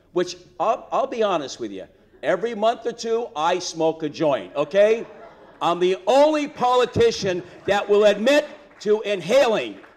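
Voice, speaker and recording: A man with a high pitch and lively intonation at a fairly slow pace, over noticeable background noise. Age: 60s. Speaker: political candidate. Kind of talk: campaign speech. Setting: stage with audience. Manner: animated.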